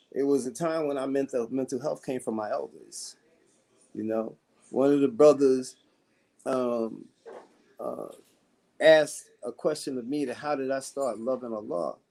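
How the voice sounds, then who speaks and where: The voice has a dark, mellow tone and a moderate pace, broken by long, frequent pauses. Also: man, medium pitch for a man. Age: 60s. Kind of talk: panel discussion. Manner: animated.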